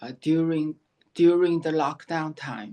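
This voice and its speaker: With a Chinese accent, a woman speaks at a very deep, low pitch against a quiet background. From China, Shanghai. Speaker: memoir author. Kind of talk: interview. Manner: halting.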